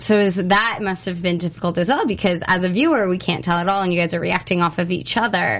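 Talking at a very fast pace, a woman has a medium pitch and ordinary pitch variation. Noticeable background noise runs underneath. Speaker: interviewer host. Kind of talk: casual interview. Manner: upbeat, chatty.

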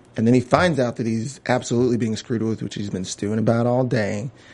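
With an ordinary speaking voice, a man keeps a medium pitch and fairly even intonation at a fairly quick pace. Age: 20s. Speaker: TV after-show podcast host. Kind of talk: casual chat.

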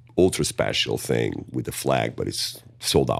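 A man with a strong Portuguese accent speaks at a fairly slow pace. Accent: thick Portuguese-accented English. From Portugal. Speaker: metal band singer. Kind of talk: interview. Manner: halting, many fillers.

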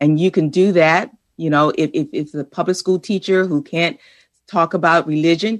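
A woman's normal speaking voice at a moderate pace, with ordinary pitch variation and a quiet background. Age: 60s. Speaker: author and boys' education advocate. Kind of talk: interview.

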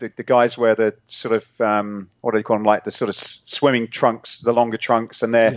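This man has a medium-pitched voice and a British accent. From England. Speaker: fitness equipment entrepreneur. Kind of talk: interview.

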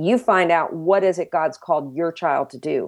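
In an American accent, a woman with a fairly low voice speaks at a moderate pace in a normal speaking voice, with a quiet background. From New Jersey. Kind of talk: faith testimony interview.

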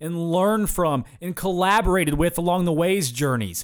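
In a very clean recording with a silent background, a man speaks in an energetic tone at a high pitch. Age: 20s. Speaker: podcast host. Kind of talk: motivational monologue.

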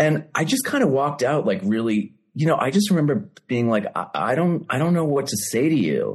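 In an American accent, a man speaks at a fairly high pitch and fairly quick pace, somewhat breathy. His intonation is lively, with hardly any pauses. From Massachusetts, US. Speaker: novelist. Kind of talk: casual interview chat. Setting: video call.

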